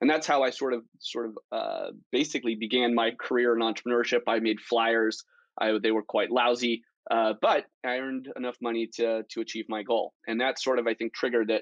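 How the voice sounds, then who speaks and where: A man's medium-pitched, monotone, flat delivery with an American accent at a fairly quick pace, dry and close with no echo against a quiet background. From Colorado, US. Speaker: tech entrepreneur. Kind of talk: interview. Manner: frequent filler words, um and uh.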